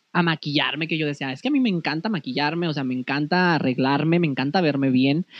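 Ordinary pitch variation in a man's speech. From Comarca Lagunera, northern Mexico. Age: 30s. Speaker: modeling academy owner. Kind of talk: casual interview.

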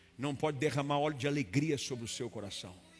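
A man with a Brazilian accent speaks at a moderate pace, fairly high in pitch and somewhat breathy. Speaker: preacher. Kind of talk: sermon. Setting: church with live congregation. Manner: earnest, fervent preaching tone, rising to a declarative, commanding cadence in prayer; direct and explanatory, addressing the listener as 'you'.

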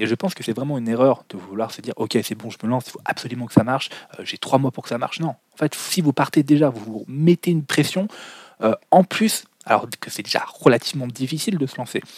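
A man with an unremarkable speaking voice, medium pitch, a fairly quick pace, lively intonation and big swings in loudness, in a dry, close sound with no echo. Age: 20s. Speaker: business podcast host. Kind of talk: solo podcast monologue.

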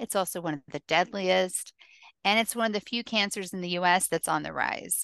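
An American accent with vocal fry, a fairly quick pace and ordinary pitch variation, in a dry, close sound with no echo against a quiet background. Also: woman, medium pitch for a woman. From US South. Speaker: author and patient advocate. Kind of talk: interview conversation.

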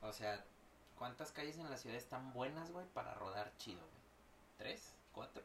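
With a Mexican accent, a man speaks fairly slowly at a medium pitch with lively intonation, and audible room echo surrounds the voice. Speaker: podcast host and teacher. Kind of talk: casual chat.

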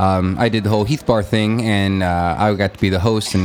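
With an American accent, a man speaks at a fairly low pitch over music in the background. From western Nebraska Sandhills. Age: 30s. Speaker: podcast host and musician. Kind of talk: casual chat; podcast intro monologue.

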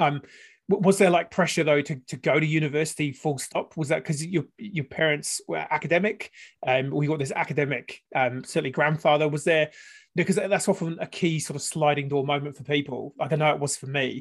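Against a quiet background, a man speaks at a fairly quick pace with a fairly high pitch. His voice is somewhat breathy, and his intonation fairly even. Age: 40s. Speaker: podcast host. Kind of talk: casual interview chat. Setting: video call.

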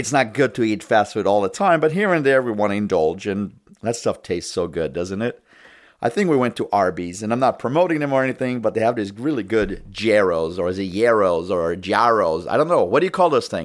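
In a very clean recording with a silent background, a man talks at a fairly quick pace in an animated tone, his pitch swinging very widely. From immigrant to US. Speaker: political podcast host. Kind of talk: political commentary monologue. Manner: animated, opinionated.

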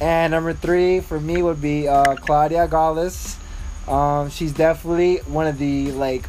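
A man with an American accent speaks fairly slowly in a fairly high pitch and a flat monotone, over noticeable background noise. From Miami, Florida. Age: 20s. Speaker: dance community organizer, medical worker. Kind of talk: casual interview.

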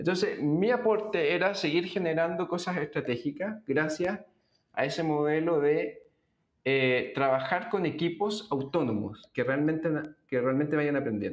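A man with an unremarkable speaking voice and a fairly high pitch talks at a fairly slow pace. His intonation is lively, and his loudness stays very even. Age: 40s. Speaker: business executive and investor. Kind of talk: interview.

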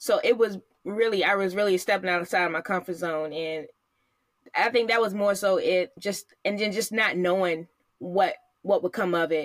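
With an American accent, a woman has an ordinary speaking voice, talking at a moderate pace in a medium pitch with ordinary pitch variation. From Virginia, US. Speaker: podcast co-host, Navy spouse, mother of three. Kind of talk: casual interview chat.

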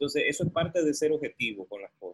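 With an unremarkable speaking voice, a man talks at a moderate pace and a fairly high pitch, his pitch varying in an ordinary way. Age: 30s. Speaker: entrepreneur and consultant. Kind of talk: podcast interview.

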